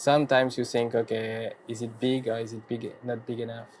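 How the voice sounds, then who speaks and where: A man with a French accent speaks at a moderate pace in a medium pitch, somewhat breathy and with monotone, flat intonation. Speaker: faceting machine maker. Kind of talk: live demonstration.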